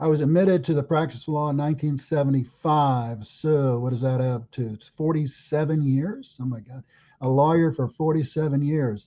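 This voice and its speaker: A man with an American accent speaks in a fairly high pitch with a dark, mellow tone. His intonation stays fairly even, and he hardly pauses at all. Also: moderate pace. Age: 70s. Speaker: lawyer and political candidate. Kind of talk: podcast interview. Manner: halting, many fillers.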